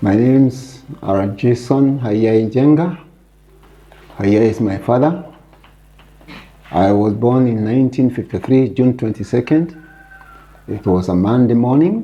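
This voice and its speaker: A man's medium-pitched voice with ordinary pitch variation, a fairly slow pace, long and frequent pauses, and noticeable background noise. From Kenya, Kiambu (Gatundu). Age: 70s. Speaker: Mau Mau survivor and retired business executive. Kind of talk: interview.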